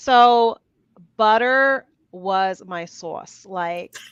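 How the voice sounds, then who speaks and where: A woman with a New Jersey accent speaks against a quiet background. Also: dry, close sound with no echo. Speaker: interview guest, keto and carnivore YouTuber. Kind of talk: casual interview chat. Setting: live stream.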